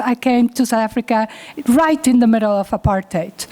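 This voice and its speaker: Amid noticeable background noise, a woman with a non-native accent speaks at a moderate pace and a high pitch. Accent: foreign accent, noticeable. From Uruguay. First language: Spanish. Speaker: chartered accountant and professor. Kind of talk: keynote talk.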